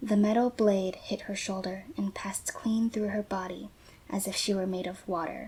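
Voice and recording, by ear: The passage is read aloud in a natural voice, its intonation fairly even.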